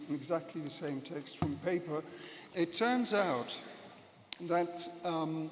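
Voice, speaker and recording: A man talks at a fairly slow pace in a high pitch. There is audible room echo and noticeable background noise. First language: Dutch. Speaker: professor. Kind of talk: conference speech. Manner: hesitant, many fillers.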